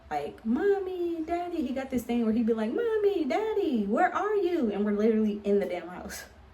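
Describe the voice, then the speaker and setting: A woman talks with very wide pitch swings. Audible room echo surrounds her voice. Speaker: vlogger and author. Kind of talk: casual vlog. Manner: animated.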